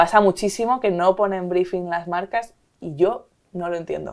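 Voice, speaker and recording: A woman's fairly low-pitched voice on a very clean recording with a silent background. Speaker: company CEO. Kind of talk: interview conversation. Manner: fast.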